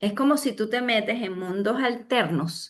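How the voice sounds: A woman speaks at a slow pace in a medium pitch. Her pitch varies in an ordinary way.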